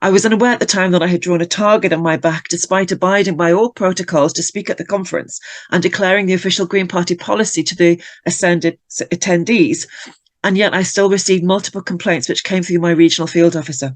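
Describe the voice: Fast pace and fairly even intonation. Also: woman, fairly low pitch for a woman.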